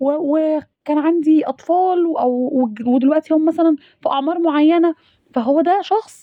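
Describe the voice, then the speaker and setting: At a moderate pace, a woman speaks with an Egyptian accent. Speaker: radio host. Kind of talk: radio monologue. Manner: halting.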